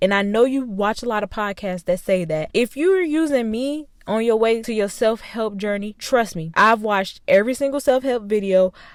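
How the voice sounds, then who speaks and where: With hardly any pauses, a woman talks in a fairly high voice with ordinary pitch variation. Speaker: self-help podcaster. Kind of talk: casual solo podcast talk. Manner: fast.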